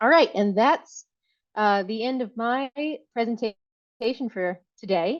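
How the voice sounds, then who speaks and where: The woman has an American accent. She talks very slowly. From Virginia. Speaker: tree crop breeder. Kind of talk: conference talk.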